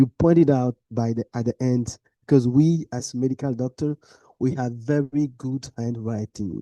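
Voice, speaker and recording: In a dry, close sound with no echo and a quiet background, a man talks at a fairly slow pace in a dark, mellow tone. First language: not English. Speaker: medical doctor and research discussant. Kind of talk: conference discussion. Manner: halting.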